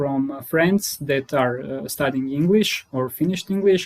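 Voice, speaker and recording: With a Croatian accent, a man speaks with ordinary pitch variation. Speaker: data scientist and HR consultant. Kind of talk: casual interview.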